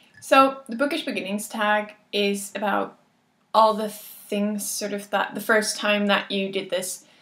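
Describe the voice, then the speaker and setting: With a Dutch accent, a woman speaks at a moderate pace and medium pitch with ordinary pitch variation. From Netherlands. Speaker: book vlogger. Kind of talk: casual vlog monologue. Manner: hesitant, with fillers.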